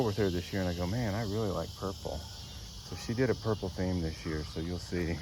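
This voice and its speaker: With a very deep, low pitch and ordinary pitch variation, a man speaks at a fairly quick pace. There is audible room echo. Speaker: gardening vlogger. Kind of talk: casual garden tour. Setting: outdoors. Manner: halting.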